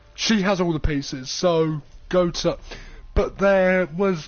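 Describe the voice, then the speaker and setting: Music plays in the background. The speaker talks at a fairly slow pace. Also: man, very even loudness. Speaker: gaming streamer. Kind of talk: casual live-stream commentary.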